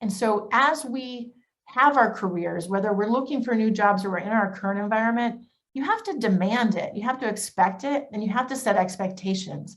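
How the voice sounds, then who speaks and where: The woman's fairly high voice is somewhat breathy, with ordinary pitch variation. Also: fairly quick pace. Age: 40s. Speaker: business executive. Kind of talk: panel presentation. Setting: video call. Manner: fast; animated.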